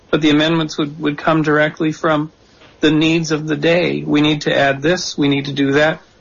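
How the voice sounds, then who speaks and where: A man's somewhat breathy, fairly high voice holds a monotone, flat intonation. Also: moderate pace. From Canada. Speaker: author of a political reform blueprint. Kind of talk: radio interview. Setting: remote call via Skype into radio studio.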